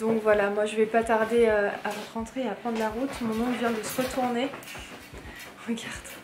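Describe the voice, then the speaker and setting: Amid noticeable background noise and audible room echo, a woman with a fairly high pitch speaks at a moderate pace in a monotone, flat intonation, with long, frequent pauses. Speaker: vlogger. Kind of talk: vlog chat. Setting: at home late at night. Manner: soft-spoken; hesitant, many fillers.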